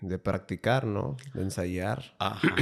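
A man speaks at a fairly slow pace. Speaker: podcast host. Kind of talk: casual interview chat. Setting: home studio.

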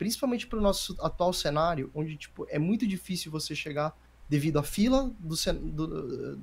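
The intonation is lively. The pace is moderate. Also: man. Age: 20s. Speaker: esports coach. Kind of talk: casual interview.

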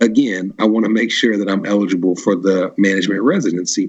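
A man's plain, everyday voice, fairly low in pitch, with an American accent, a moderate pace, and fairly even intonation. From Nashville, Tennessee, US South. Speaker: podcast guest. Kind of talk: casual chat.

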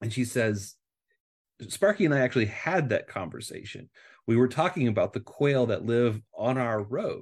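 A somewhat breathy man with an American accent, medium in pitch, with lively intonation at a moderate pace against a quiet background. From US Midwest, Nebraska. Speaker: museum curator. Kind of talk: interview. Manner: hesitant, many fillers.

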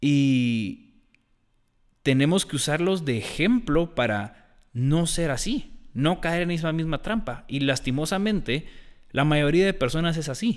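With lively intonation and a fairly high pitch, a man speaks at a very slow pace in a very clean recording with a silent background. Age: 20s. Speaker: podcast co-host. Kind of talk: casual chat.

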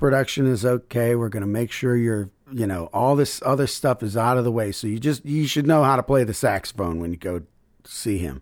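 An unremarkable speaking voice moves at a moderate pace with lively intonation, recorded very cleanly against a silent background. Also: man. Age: 50s. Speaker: blues musician and bandleader. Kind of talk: casual interview chat.

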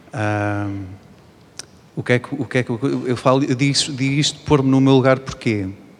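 A man speaks at medium pitch and a moderate pace. Long, frequent pauses break up his speech. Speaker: dancer. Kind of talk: post-show talk. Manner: halting.

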